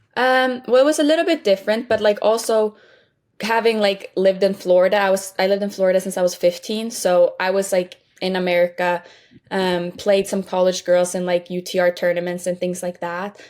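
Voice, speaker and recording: A woman with a Swedish accent at a medium pitch, ordinary pitch variation and a fairly quick pace, on a very clean recording with a silent background. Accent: Swedish-tinged English. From Sweden. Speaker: college tennis player. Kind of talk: interview.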